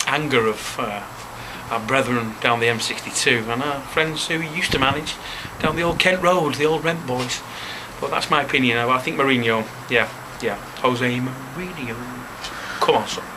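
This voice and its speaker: Speaking at a moderate pace with long, frequent pauses, a man with a Manchester accent has a medium pitch and ordinary pitch variation over noticeable background noise. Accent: Greater Manchester English. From Leigh, Greater Manchester, England. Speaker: football fan. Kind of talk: interview answer. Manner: casual, profane.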